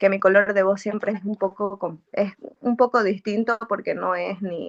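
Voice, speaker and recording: Monotone and flat, a woman at medium pitch talks at a fairly slow pace in a dry, close sound with no echo. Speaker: music graduate, singer. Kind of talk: interview. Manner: halting.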